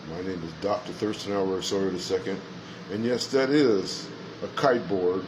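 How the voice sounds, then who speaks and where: The recording has noticeable background noise and audible room echo. In it, a man with an American accent speaks at a fairly low pitch. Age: 60s. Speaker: chaplain. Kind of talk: monologue to camera.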